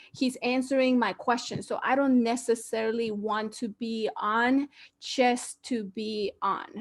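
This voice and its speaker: A woman with a Guatemalan accent and a fairly high pitch. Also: fairly even intonation, fairly slow pace. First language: Spanish. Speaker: online talk show host. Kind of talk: casual chat. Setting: video call.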